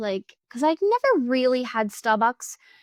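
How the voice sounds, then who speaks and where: A woman speaks with an Australian accent. The recording is very clean with a silent background, and the sound is dry and close with no echo. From Victoria, Australia. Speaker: gaming youtuber. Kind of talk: casual chat over gameplay. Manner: fast; breathless gasps.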